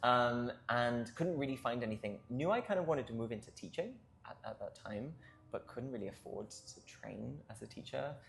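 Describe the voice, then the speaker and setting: A man at medium pitch speaks with lively intonation and big swings in loudness. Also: moderate pace. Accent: Welsh. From South Wales. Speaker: choir co-director. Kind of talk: interview.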